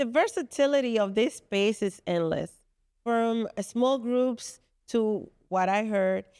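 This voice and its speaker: With a Spanish accent, a woman speaks fairly slowly with ordinary pitch variation, in a very clean, dry, close recording with no echo and a silent background. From Dominican Republic. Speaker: venue co-founder and commercial real estate professional. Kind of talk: casual interview chat. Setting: podcast recorded at venue headquarters. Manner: halting.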